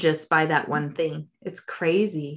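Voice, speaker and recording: Over a quiet background, a woman with a General American accent speaks at a fairly slow pace in a very deep, low pitch. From Colorado, US. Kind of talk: interview conversation. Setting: remote interview.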